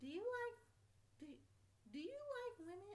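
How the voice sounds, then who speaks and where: A female-sounding, put-on character voice pitched extremely high. Light background noise sits behind it. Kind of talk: casual, chirpy, girlish.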